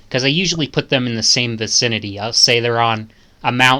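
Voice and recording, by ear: This is reading aloud in a natural voice with fairly even intonation.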